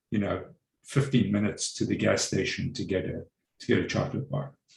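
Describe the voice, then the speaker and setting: Vocal fry runs through this voice, and its intonation is lively. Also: man. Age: 60s. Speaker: meditation course participant. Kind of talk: group sharing. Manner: halting.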